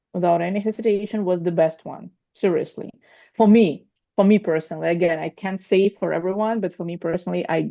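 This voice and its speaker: Fairly quick speech from a woman with a Russian accent. Her voice sits fairly low, and her intonation stays fairly even. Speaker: coaching student preparing for exam. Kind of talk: group video call feedback. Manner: halting, with false starts.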